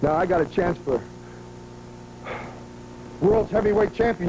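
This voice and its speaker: A man with a high voice speaks very fast, his pitch varying in an ordinary way amid noticeable background noise. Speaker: professional wrestler. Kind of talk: wrestling promo. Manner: brash, boastful.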